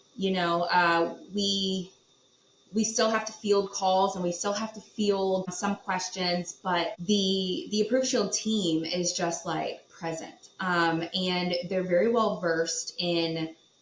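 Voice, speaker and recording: Very slow speech from a woman with an American accent, fairly even intonation, and noticeable background noise. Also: medium pitch for a woman. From Virginia Beach, Virginia. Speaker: property management executive. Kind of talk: podcast interview.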